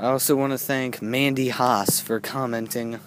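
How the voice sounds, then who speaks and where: A man talks at a very slow pace with fairly even intonation, the sound dry with no echo and noticeable background noise behind him. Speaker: amateur horror vlogger. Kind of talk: casual vlog chat. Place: forest. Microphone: phone near.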